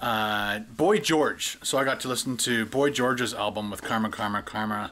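At a fairly quick pace, a man with a fairly low pitch and a bright, sharp tone keeps his intonation fairly even over light background noise. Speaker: vlogger. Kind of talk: casual vlog chat, storytelling. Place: home room. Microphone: phone near.

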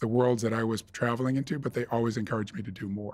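A man talks at a very fast pace with an American accent. His intonation stays fairly even. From US Northeast, near Boston. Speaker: investment fund manager. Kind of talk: interview. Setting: studio. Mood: calm, reflective. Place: studio. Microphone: studio mic.

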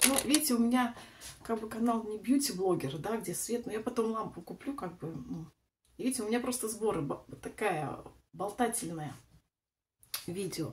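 A woman speaks at a moderate pace with fairly high pitch, lively intonation and vocal fry. Her speech is broken by long, frequent pauses. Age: 40s. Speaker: lifestyle vlogger; vlogger. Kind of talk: casual vlog, makeup tutorial. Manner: chatty, meandering. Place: bathroom. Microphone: phone near.

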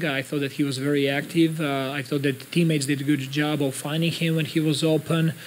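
Over light background noise, a man speaks at a fairly quick pace. His intonation is monotone and flat. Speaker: basketball head coach. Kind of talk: interview answer. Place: hall. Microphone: podium.

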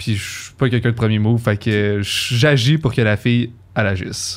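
A man speaks at a moderate pace in a normal speaking voice. His pitch is medium, with fairly even intonation. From Quebec. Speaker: university student; podcast guest. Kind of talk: casual chat. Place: studio. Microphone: studio mic.

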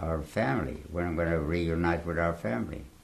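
At a moderate pace, a man talks in a very deep, low pitch with vocal fry. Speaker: Holocaust survivor giving testimony. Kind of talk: interview answer, oral history testimony. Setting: interview in a home or studio, recorded 2017.

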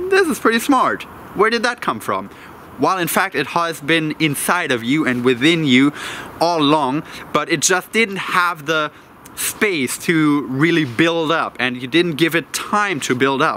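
A man at a fairly slow pace, dry with no echo, over light background noise. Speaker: self-development vlogger. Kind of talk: casual vlog chat. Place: waterside.

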